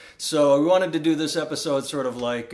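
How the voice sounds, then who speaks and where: Talking at a moderate pace with an American accent, a man has an ordinary speaking voice and a fairly high pitch. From Iowa. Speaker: comedian and podcast host. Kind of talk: casual chat. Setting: home recording in co-host's house.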